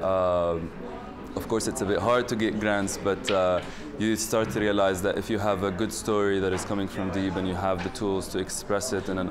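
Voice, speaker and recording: A man with a fairly low voice speaks at a moderate pace in a monotone, flat intonation. Noticeable background noise is present. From Palestine. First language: Arabic. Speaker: filmmaker, editor and director. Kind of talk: interview answer. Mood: calm, thoughtful. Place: hall.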